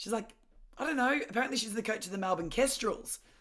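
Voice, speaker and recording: A woman speaks with an Australian accent at a medium pitch and lively intonation. The recording is very clean, the background silent. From Victoria, Australia (Mornington Peninsula). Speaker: former professional athlete. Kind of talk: interview. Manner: loud.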